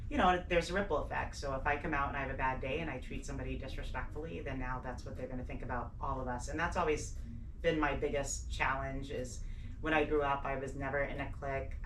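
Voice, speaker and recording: A woman speaks very fast, her voice carrying audible room echo over noticeable background noise. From Portsmouth, New Hampshire, US. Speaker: police detective. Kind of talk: radio interview. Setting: radio studio. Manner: animated.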